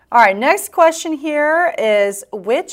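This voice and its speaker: Her pitch rises and falls across a very wide range. This woman delivers her words very slowly. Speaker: podcast host, dental hygiene. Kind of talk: casual chat, podcast quiz.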